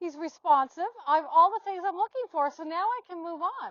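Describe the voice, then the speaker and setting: Speaking at a moderate pace, a woman has an extremely high pitch with ordinary pitch variation. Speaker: horse trainer. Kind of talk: demonstration. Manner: loud.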